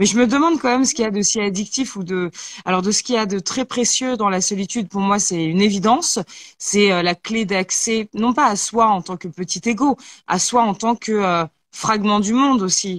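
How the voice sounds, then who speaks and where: An ordinary speaking voice from a woman, medium in pitch with ordinary pitch variation, at a moderate pace, on a very clean recording with a silent background and a dry, close sound with no echo. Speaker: talk show host. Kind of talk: casual chat.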